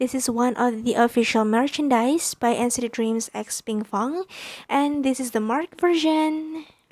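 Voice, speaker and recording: This speaker has a non-native accent, ordinary pitch variation and a moderate pace. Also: woman, high pitch for a woman. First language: not English. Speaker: YouTuber. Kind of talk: unboxing video. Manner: halting.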